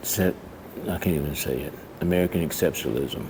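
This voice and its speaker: A quiet man's voice, very deep and low in pitch, with ordinary pitch variation. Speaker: vlogger. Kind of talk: casual vlog monologue. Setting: public library. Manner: quiet, keeping voice down; halting, many fillers.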